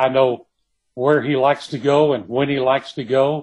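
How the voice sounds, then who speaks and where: A man with an American accent speaks in a fairly high pitch. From East Texas, Kilgore. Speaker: novelist. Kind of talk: interview.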